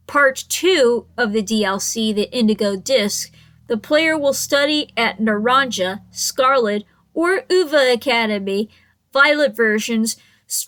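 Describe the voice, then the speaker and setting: A woman with a high voice talks fairly slowly, her intonation lively. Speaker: gaming YouTuber. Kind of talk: casual monologue. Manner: stuttering; halting.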